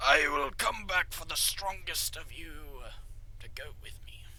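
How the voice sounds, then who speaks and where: A man speaks in a put-on character voice at a fairly slow pace. Clear background noise can be heard. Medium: actual play.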